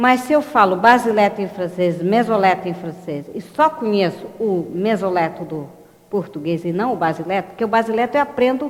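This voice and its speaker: Amid noticeable background noise and audible room echo, a woman speaks at a moderate pace with lively intonation. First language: French (speaking Portuguese). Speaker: linguistics educator. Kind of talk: lecture. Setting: live online broadcast.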